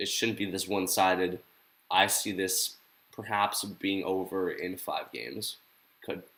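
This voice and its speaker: The speech comes with long, frequent pauses and fairly even intonation. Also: man, very deep, low pitch for a man. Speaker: sports streamer. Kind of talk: live reaction stream. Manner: casual, filler-heavy.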